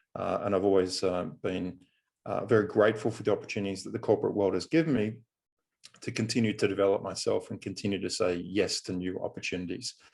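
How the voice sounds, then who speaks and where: Very fast speech from a man with an Australian accent. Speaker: business coach and consultant. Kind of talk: podcast interview. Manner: frequent filler hesitations.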